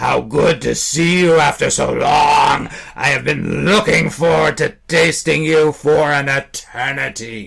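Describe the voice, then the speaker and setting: A man's raspy, menacing, put-on character voice, fairly high in pitch, fairly slow, with hardly any pauses. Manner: menacing, gloating.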